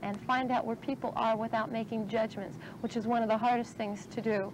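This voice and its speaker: Noticeable noise behind a voice of fairly even intonation. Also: woman, dry sound with no echo. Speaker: social work student. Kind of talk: testimony. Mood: earnest, reflective. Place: garden. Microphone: old recording.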